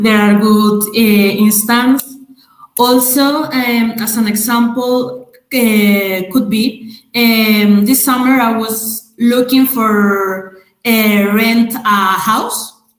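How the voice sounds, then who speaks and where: Speaking with a Spanish accent, a woman goes at a very slow pace with fairly even intonation. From Madrid, Spain. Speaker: webinar speaker on racism. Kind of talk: webinar presentation. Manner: halting, many fillers.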